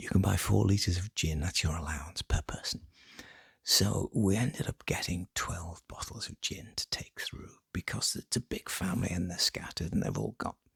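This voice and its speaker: Someone is whispering. The pace is moderate. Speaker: ASMR creator. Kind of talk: casual talk to camera, ASMR ramble. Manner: soft-spoken.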